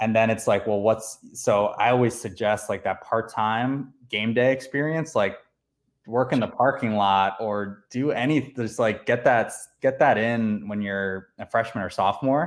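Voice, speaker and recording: Speaking fairly slowly with an American accent, a man uses a normal speaking voice of medium pitch and ordinary pitch variation, on a very clean recording with a silent background. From New Jersey (South Amboy). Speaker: minor league baseball general manager. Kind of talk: casual interview.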